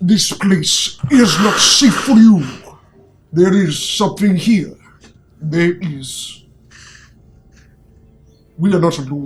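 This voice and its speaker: Long, frequent pauses break up a very slow pace as the speaker uses a put-on character voice at a middle pitch. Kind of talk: fey. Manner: otherworldly elven tonality.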